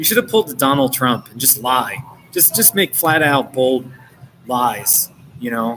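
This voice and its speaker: Music in the background behind a man with an American accent, medium pitch, ordinary pitch variation and a moderate pace. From New Jersey / New York area, US. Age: 40s. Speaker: live streamer and author. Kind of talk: casual live stream chat. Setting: coffee shop.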